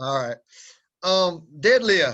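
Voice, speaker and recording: Here a man speaks with a strong Southern US accent. His pitch is high. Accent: strong Southern drawl. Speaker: powerlifting coach. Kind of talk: webinar instruction.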